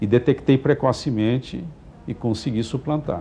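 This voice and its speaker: Somewhat breathy and dark, mellow in tone, a man speaks at a medium pitch and a moderate pace. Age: 60s. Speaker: physician. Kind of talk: TV interview.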